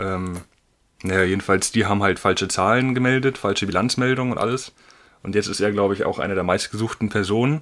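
A man talks very fast at a fairly low pitch with ordinary pitch variation. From northern Germany. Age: young. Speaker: trainee. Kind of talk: casual chat.

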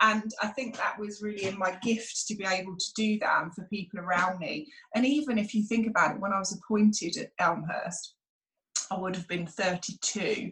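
Using lively intonation, a woman with a British accent speaks at a medium pitch and a moderate pace. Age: 40s. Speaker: school principal and former dancer. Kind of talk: casual interview.

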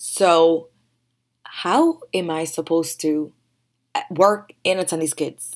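A woman's fairly low voice at a very slow pace, with long, frequent pauses and fairly even intonation. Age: 30s. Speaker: podcast host, mother of three. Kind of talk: personal monologue.

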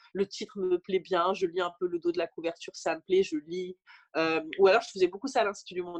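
In a dry, close recording with no echo, a woman talks at a very fast pace, her medium pitch showing ordinary variation. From rural France. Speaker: author. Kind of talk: interview. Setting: remote recording.

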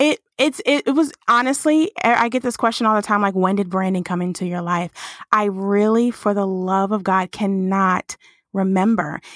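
In a normal speaking voice, a woman speaks at medium pitch and a moderate pace with ordinary pitch variation. The recording is very clean and dry, with a close sound, no echo and a silent background. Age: 30s. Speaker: branding agency founder. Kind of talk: interview.

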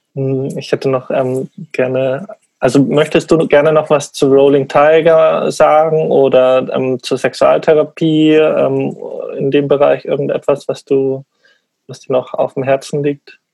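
A man talks at a fairly slow pace. There is no echo, and the sound is dry and close. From Bavaria, Munich. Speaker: podcast host. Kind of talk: interview conversation.

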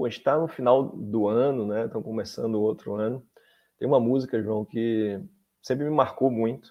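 A man talks at a moderate pace in an unremarkable speaking voice, with ordinary pitch variation. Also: medium pitch for a man. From Salvador, Bahia, Brazil. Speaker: law professor and government attorney. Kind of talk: interview on legal topics.

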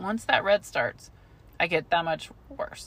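Speaking at a moderate pace and medium pitch, a woman with a plain, everyday voice and an American accent comes through on a very clean recording with a silent background. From US Southwest (Albuquerque). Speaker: podcast co-host. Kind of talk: casual chat.

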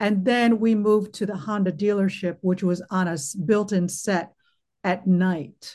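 At a fairly slow pace, the speaker uses an American accent, a dark, mellow tone that is somewhat breathy, and ordinary pitch variation. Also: woman, medium pitch for a woman. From United States. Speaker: actress. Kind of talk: casual chat. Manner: animated.

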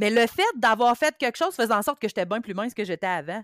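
A woman speaks in a fairly high voice with a Quebec accent. Her intonation is lively. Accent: Québécois French. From Quebec, Mauricie. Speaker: bariatric surgery patient sharing experience. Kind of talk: testimony.

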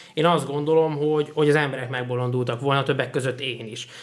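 An ordinary speaking voice, this man talks at a fairly quick pace and fairly high pitch with fairly even intonation. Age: 20s. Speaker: podcast host. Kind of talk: casual chat. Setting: studio.

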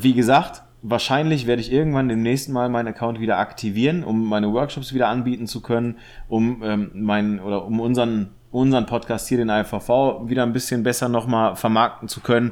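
A man talks at a medium pitch. His pace is fairly quick and his intonation fairly even. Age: 30s. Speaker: photographer. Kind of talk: casual chat. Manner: halting.

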